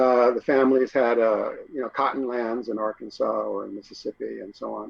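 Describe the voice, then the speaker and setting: A man talks at a fairly quick pace. His loudness swings a lot. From New York, raised in Memphis, Tennessee. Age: 60s. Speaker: author and poet. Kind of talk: interview. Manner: halting, many fillers.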